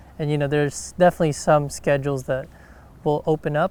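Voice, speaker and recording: A man talks at a very fast pace with monotone, flat intonation. His pitch sits fairly high. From Philippines. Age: 20s. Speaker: professional golfer. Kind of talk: interview. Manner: casual, hesitant with fillers.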